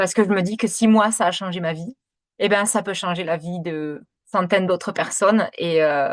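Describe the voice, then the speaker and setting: Against a quiet background, the speaker talks at a moderate pace with fairly even intonation. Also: woman, medium pitch for a woman. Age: 30s. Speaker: kinesiologist and essential oils seller. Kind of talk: sales pitch presentation. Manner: hesitant, many fillers; talkative.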